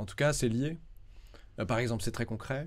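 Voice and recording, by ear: A man speaks in a slightly mellow tone with ordinary pitch variation.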